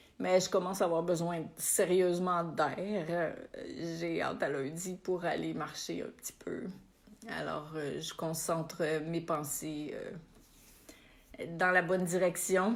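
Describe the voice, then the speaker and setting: A woman with a Quebec accent speaks at a very slow pace and a fairly low pitch, using vocal fry and fairly even intonation. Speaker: spiritual coach. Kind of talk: live stream chat with viewers. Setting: Facebook live video. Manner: casual, warm.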